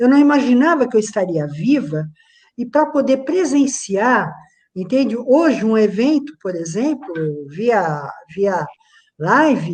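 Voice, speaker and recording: A woman at a high pitch, with very wide pitch swings, a very slow pace and long, frequent pauses. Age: 60s. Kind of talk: video call panel discussion.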